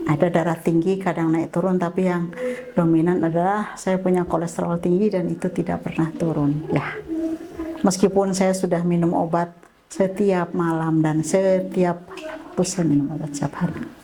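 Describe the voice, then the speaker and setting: Through noticeable background noise, a woman speaks in a fairly low pitch. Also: fairly even intonation, moderate pace. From Indonesia, Tegal (Central Java). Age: 60s. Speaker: health camp participant. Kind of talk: testimony.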